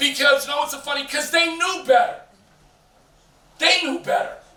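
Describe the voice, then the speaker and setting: Over noticeable background noise and audible room echo, a man uses a raised, projected voice at an extremely high pitch. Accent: American. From Boston. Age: 60s. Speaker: community leader and youth mentor. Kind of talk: on-stage interview. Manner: animated.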